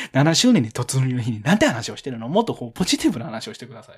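A man's somewhat breathy, animated voice at a very fast pace. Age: 20s. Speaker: podcast host. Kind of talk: casual chat. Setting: live stream recording.

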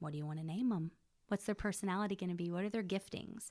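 A woman uses a plain, everyday voice with ordinary pitch variation in a very clean recording with a silent background. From central Texas (Belton). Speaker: church worship singer. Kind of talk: casual interview.

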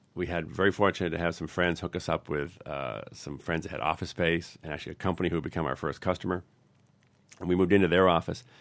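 Over a very clean recording with a silent background, a man with a very deep, low pitch and an American accent talks at a very fast pace, his fairly even intonation carrying vocal fry. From US New England. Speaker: tech company founder and CEO. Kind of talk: podcast interview.

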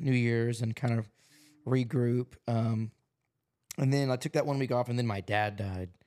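A man with an ordinary speaking voice, medium pitch and moderate pace, on a very clean recording with a silent background. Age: 20s. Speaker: podcast host and musician. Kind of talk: casual chat. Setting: his apartment.

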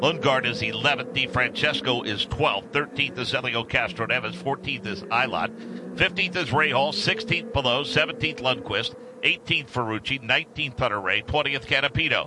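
With a fairly high pitch and very wide pitch swings, a man talks at a moderate pace with hardly any pauses over noticeable background noise. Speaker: radio play-by-play announcer. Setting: radio broadcast from track.

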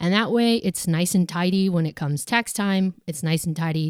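Recorded very cleanly against a silent background, with a dry, close sound and no echo, a woman has an unremarkable speaking voice, a fairly low pitch, ordinary pitch variation and a moderate pace. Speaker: bookkeeping company founder and finance author. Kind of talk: finance Q&A advice segment.

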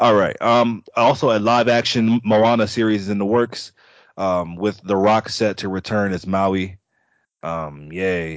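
Speaking in an unremarkable speaking voice, this man keeps a fairly low pitch and ordinary pitch variation. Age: 20s. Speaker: podcast guest, film fan. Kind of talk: casual chat.

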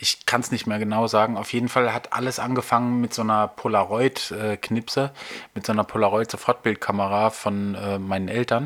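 A man speaks at a fairly quick pace in a fairly low voice, his intonation fairly even. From Baden-Württemberg, Germany (Nussloch near Heidelberg). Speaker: photographer and podcast host. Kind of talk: casual monologue. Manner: hesitant, many filler sounds.

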